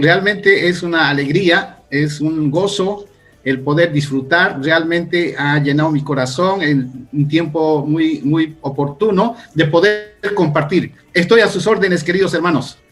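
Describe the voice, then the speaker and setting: Music plays behind a man with a fairly high pitch. He speaks at a fairly slow pace with ordinary pitch variation. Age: 60s. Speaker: pastor. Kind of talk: interview.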